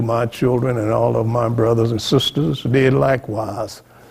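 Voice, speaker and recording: A man's somewhat breathy, medium-pitched voice holds a fairly even intonation. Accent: Texan. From central Texas, Austin area. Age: 80s+. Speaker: Freemason lodge past master. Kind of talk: oral history interview. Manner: halting, self-correcting.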